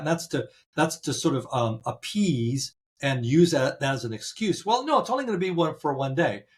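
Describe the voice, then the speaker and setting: The voice is somewhat breathy, heard on a very clean recording with a silent background. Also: man. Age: 70s. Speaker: interviewee voter. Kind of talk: interview. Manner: halting.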